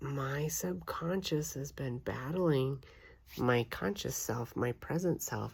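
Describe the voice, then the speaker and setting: A woman's very deep, low voice with vocal fry, lively intonation and a very slow pace, on a very clean recording with a silent background. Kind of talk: casual talk to camera. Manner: reflective, personal.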